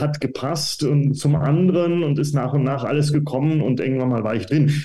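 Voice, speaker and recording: At a moderate pace, a man speaks at medium pitch in a dark, mellow tone with vocal fry, and room echo is audible. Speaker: professor of medieval German studies. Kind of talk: interview. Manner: hesitant, many fillers.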